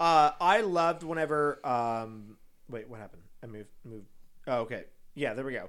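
A man with an American accent speaks at a medium pitch and moderate pace. His tone is animated, with lively intonation. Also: big swings in loudness. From Texas, San Antonio. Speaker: podcast co-host, drag race recap. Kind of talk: casual chat.

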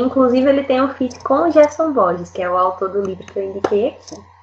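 At a fairly quick pace, a woman talks with lively intonation in an ordinary speaking voice. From Northeast Brazil, Rio Grande do Norte. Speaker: singer-songwriter. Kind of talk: casual panel discussion.

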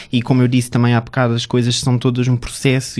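A man is speaking. He has a medium-pitched voice. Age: 20s. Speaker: founder of an LGBT media outlet, model and actor. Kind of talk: interview.

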